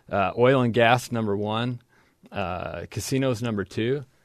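A man talks at a medium pitch with fairly even intonation. The background is quiet. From southern Idaho. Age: 40s. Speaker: congressional candidate. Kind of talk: interview. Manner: halting.

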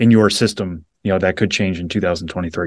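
A man with an American accent uses an ordinary speaking voice, fairly low in pitch with fairly even intonation. He goes at a fairly quick pace against a quiet background. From Western Massachusetts. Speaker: baseball prospect reporter. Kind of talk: casual interview.

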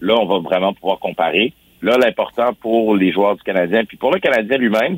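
This is a normal speaking voice from a man with fairly low pitch. His pitch variation is ordinary. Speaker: sports columnist. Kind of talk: radio sports segment.

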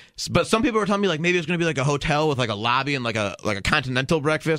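Over noticeable background noise, a man speaks at a very fast pace with hardly any pauses. His intonation is lively. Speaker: actor. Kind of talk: casual chat.

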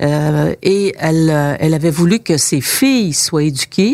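A woman speaks at a very slow pace with a fairly low pitch and ordinary pitch variation. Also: dry, close sound with no echo. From Quebec, rural Bas-Saint-Laurent. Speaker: politician and former journalist. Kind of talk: interview. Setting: constituency office.

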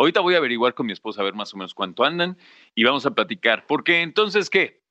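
Against a quiet background, a man with a Mexican accent uses a bright, sharp tone and very wide pitch swings, the sound dry and close with no echo. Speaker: podcast host. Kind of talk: casual monologue.

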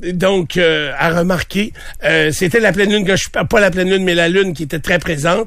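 Fairly even in intonation, a high-pitched man speaks over noticeable background noise. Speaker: morning radio host. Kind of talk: casual chat.

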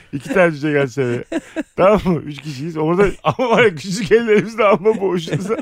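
A man speaks very fast in a high voice. His tone is animated. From Turkey, Bursa. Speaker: comedian. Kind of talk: casual chat.

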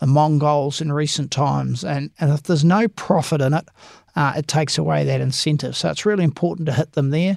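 With a New Zealand accent, a man speaks in a fairly high pitch. The sound is dry and close with no echo, on a very clean recording with a silent background. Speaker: police association head, former detective. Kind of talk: interview.

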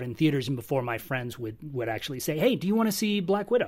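With lively intonation, the speaker sounds somewhat breathy. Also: man, very clean recording, silent background. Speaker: film and media reviewer. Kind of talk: casual roundtable chat.

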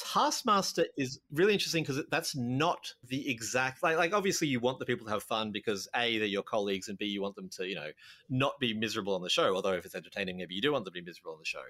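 A man's bright, sharp, medium-pitched voice with an American accent, very fast and with hardly any pauses, very wide pitch swings, on a very clean recording with a silent background. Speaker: podcast host, game designer. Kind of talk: casual chat.

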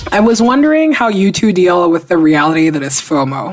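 A woman talks at a fairly quick pace and fairly low pitch, her tone animated and her pitch variation ordinary. Noticeable background noise is present. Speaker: podcast co-host. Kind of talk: casual chat.

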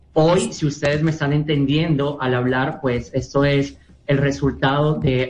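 Somewhat breathy, a man talks with a fairly high pitch. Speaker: author and anti-bullying speaker. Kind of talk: testimony.

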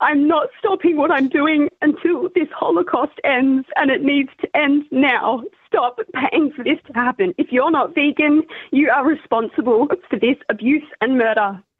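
A high-pitched woman with a passionate tone and lively intonation at a fairly slow pace. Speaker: vegan activist. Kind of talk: heated argument. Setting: phone call. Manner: passionate, defiant, emphatic.

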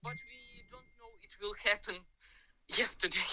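A woman in a Ukrainian accent speaks with a bright, sharp tone and vocal fry. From Ukraine. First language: Ukrainian or Russian. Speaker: civilian in war zone, dog trainer. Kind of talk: phone interview testimony. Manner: halting, hesitant English.

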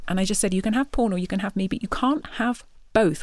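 A woman with a Yorkshire accent, medium pitch, very fast pace and lively intonation, on a very clean recording with a silent background. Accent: Northern English (Yorkshire). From England, Yorkshire. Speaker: guest sharing marriage testimony. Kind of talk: testimony.

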